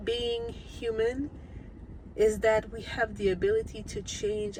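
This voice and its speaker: A woman speaks with a non-native accent at a fairly slow pace. Room echo is audible, and there is noticeable background noise. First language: not English. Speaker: vlogger. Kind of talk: casual vlog monologue. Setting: on the way to the gym. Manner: many fillers and hesitations.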